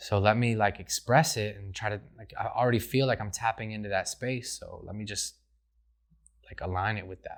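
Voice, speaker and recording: An unremarkable speaking voice, a man with an American accent talks at a moderate pace and fairly low pitch, his intonation fairly even but his loudness swinging widely. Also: very clean recording, silent background. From Rochester, upstate New York. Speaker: rapper. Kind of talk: interview. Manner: casual, many fillers.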